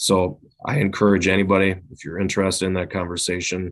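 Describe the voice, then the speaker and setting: With an Upper Midwest accent, a man speaks in a very deep, low pitch. His pace is moderate and his intonation fairly even. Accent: Upper Midwest (Minnesota). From southeastern Minnesota (Winona). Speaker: police chief. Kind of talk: podcast interview.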